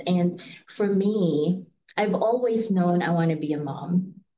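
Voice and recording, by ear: Slowly and with ordinary pitch variation, a woman speaks in a fairly low, slightly mellow voice, with audible room echo around her.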